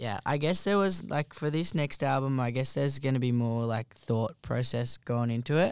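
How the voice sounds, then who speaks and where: With an Australian accent, a man speaks at a moderate pace with hardly any pauses, using a medium pitch and ordinary pitch variation, on a very clean recording with a silent background and a dry, close sound with no echo. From New South Wales, near Wollongong. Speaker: lead singer of a band. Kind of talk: casual interview.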